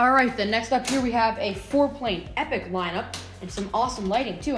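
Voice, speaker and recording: A woman talks very fast in a room with audible echo while faint music plays in the background. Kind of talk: commentary. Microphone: phone near.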